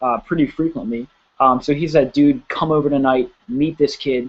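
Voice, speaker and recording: With an American accent and an unremarkable speaking voice, a man speaks at a fairly quick pace with fairly even intonation. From Pennsylvania, US. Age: 20s. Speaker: network marketing promoter. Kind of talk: sales pitch. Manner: casual, filler-heavy. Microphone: spotty connection.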